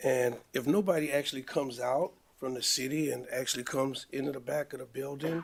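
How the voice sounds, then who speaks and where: A man talks at a fairly quick pace in an unremarkable speaking voice, with fairly high pitch and fairly even intonation. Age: 60s. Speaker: business owner respondent. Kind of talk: hearing testimony.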